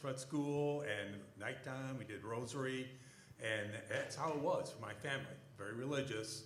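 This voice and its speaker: Over noticeable background noise and audible room echo, a man speaks at a moderate pace. His intonation is fairly even. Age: 60s. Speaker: church panelist. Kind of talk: testimony. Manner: halting.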